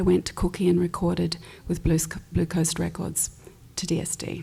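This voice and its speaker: Speaking at a moderate speed, a woman talks in an Australian accent. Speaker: pianist and recording artist. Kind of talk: panel discussion.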